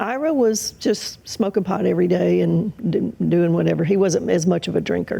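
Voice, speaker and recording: Speaking with an American accent, a woman keeps a moderate pace and very even loudness, with hardly any pauses. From US South, Mississippi. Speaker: guest telling her faith story. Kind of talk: testimony interview. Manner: hesitant, many fillers.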